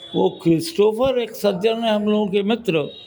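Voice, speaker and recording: Noticeable background noise sits under a man's high-pitched voice. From Varanasi, north India. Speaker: senior journalist. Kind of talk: interview.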